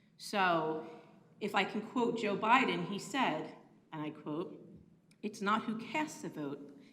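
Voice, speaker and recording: A woman with an American accent at medium pitch, audible room echo, and noticeable background noise. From Pennsylvania, Bucks County. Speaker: public commenter. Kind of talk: public comment at council meeting. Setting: county commissioners meeting.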